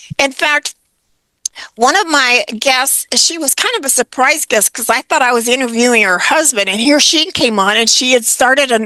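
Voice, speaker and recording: A woman with a high pitch projects a raised voice in a bright, sharp tone at a moderate pace, with ordinary pitch variation and a dry, close sound with no echo. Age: 70s. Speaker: retirement coach. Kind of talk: interview. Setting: podcast interview.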